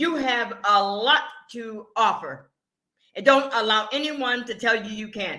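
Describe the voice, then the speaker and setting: Audible room echo surrounds a woman with a fairly high pitch. Her tone is animated, with ordinary pitch variation. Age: 70s. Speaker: motivational speaker and business coach. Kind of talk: virtual conference speech. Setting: virtual summit online.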